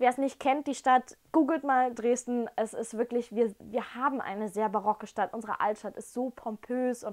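Speaking at a moderate pace, a woman with a high pitch and fairly even intonation is heard over a quiet background. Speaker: whisky tasting host. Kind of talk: casual vlog chat. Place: home room. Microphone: camera far.

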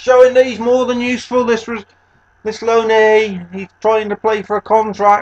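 A man with a British accent and high pitch, moderate pace, monotone, flat intonation, big swings in loudness, and dry, close sound with no echo. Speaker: gaming YouTuber. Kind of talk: sports commentary over video game highlights.

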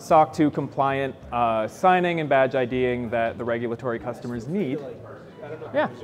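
This man has a normal speaking voice, fairly high in pitch, with ordinary pitch variation at a moderate pace, over light background noise. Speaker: engineer giving a product demo. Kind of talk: live product demo. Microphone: lapel.

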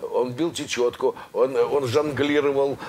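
A man talks very slowly while light noise sounds in the background. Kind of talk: interview answer. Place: home room.

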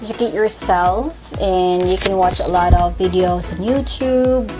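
A woman talks while clear music plays in the background. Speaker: fitness vlogger. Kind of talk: casual vlog chat. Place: home room.

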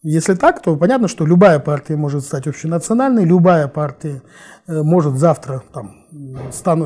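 The voice has a dark, mellow tone and lively intonation at a moderate pace. The background is quiet. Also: man. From Kazakhstan, Almaty. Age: 40s. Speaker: political analyst. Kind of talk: interview. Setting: studio. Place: studio.

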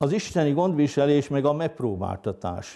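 Fairly high in pitch yet with a dark, mellow tone, a man speaks at a fairly slow pace over a quiet background. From northern Hungary, Heves county; Hungary. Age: 60s. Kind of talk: interview testimony; interview answer. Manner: hesitant, with many fillers. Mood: calm, reflective. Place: home room. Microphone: lapel.

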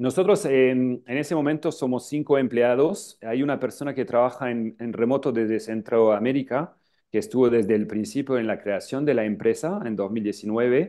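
Against a quiet background, a man with a French accent talks at a moderate pace with hardly any pauses, his medium pitch showing ordinary variation. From northern France, Lille; France. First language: French (speaking Spanish). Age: 40s. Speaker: travel agency founder. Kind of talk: interview. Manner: halting, many filler sounds. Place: office. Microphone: earbuds.

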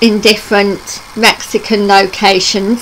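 Speaking very slowly in a monotone, flat intonation, a woman is heard over light background noise. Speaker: travel vlogger. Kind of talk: casual news vlog chat. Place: home room. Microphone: webcam.

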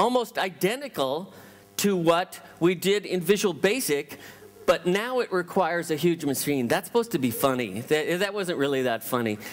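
Speaking at a moderate pace with an American accent, a man with a high pitch makes very wide pitch swings. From US West Coast, Los Angeles. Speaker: tech company founder, keynote speaker; keynote speaker. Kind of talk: conference keynote. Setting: stage with audience. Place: hall.

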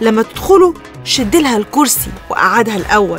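A woman speaks in an Egyptian accent with a fairly high pitch. The sound is dry with no echo, and clear music plays in the background. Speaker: radio show host. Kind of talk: radio talk show advice. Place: studio.

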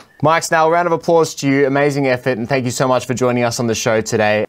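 Talking at a very fast pace, a man with an Australian accent sounds upbeat and enthusiastic, his pitch varying in an ordinary way. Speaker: show host. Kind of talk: talk show host outro. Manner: upbeat, enthusiastic. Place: studio. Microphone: studio mic.

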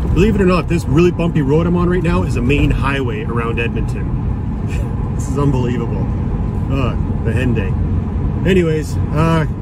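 In a dry sound with no echo, a man speaks at a moderate pace despite loud background noise. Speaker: overlanding vlogger. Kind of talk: casual vlog chat. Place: car. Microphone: phone near.

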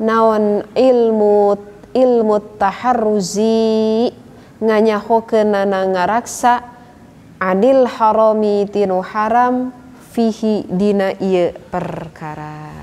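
Very slow in pace, a woman's speech keeps a fairly even intonation. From West Java, Indonesia (Sundanese). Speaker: religious teacher. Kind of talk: lecture. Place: hall.

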